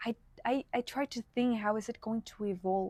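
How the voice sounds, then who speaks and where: Speaking fairly slowly with a Spanish accent, a woman has a fairly high voice with a dark, mellow tone and fairly even intonation, in a dry, close sound with no echo. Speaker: content creator. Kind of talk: casual unscripted video podcast. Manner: casual, many fillers.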